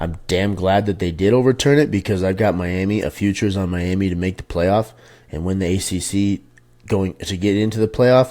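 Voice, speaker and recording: This man has a very deep, low pitch and a dark, mellow tone. His pitch varies in an ordinary way. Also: fairly quick pace, very clean recording, silent background. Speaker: sports betting tipster. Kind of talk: casual monologue. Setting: home. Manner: quiet, speaking softly. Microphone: very close to the microphone.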